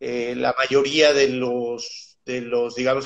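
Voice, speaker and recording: Very slow and monotone, a man speaks in flat intonation at a medium pitch. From Mexico City. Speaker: animal nutrition scientist. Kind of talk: interview.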